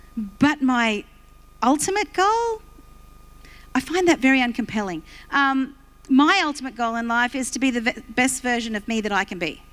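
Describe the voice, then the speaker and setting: A woman with an Australian accent speaks in a high voice with lively intonation. Her pace is moderate, broken by long, frequent pauses. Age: 60s. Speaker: pastor. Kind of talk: sermon.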